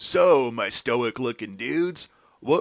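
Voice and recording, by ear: A natural voice reading text aloud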